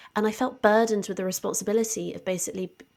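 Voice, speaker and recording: A woman speaks with a southern English accent on a very clean recording with a silent background. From southwest England, Devon. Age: 20s. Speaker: science communicator and author. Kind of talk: podcast interview.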